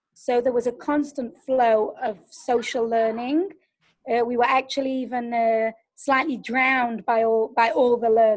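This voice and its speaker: A woman with an English accent, high in pitch and fairly even in intonation, at a fairly slow pace. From England. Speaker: pedagogical advisor. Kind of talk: webinar answer.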